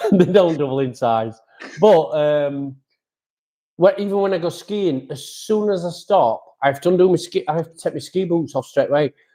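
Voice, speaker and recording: A man with a Yorkshire accent talks at a moderate pace, his pitch high with ordinary variation. His tone is dark and mellow. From Yorkshire, England. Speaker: amateur motorcycle racer and podcast host. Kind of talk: casual chat. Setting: live stream.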